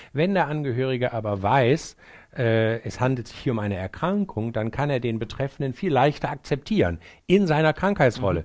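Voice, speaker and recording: A man with a medium pitch talks at a moderate pace. His pitch swings very widely, and the recording is very clean, with a silent background. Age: 60s. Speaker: psychiatrist. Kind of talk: interview. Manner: hesitant, many fillers.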